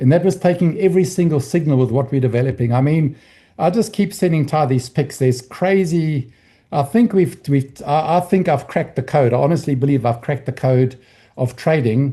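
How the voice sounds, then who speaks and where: A man speaks at a fairly quick pace in a fairly high voice with ordinary pitch variation. His tone is dark and mellow, and somewhat breathy. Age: 60s. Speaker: trading educator. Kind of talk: training session. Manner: halting.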